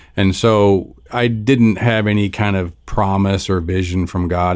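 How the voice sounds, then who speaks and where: In an ordinary speaking voice, a man talks with a fairly low pitch and fairly even intonation. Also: hardly any pauses, very clean recording, silent background. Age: 60s. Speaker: pastor. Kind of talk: casual chat.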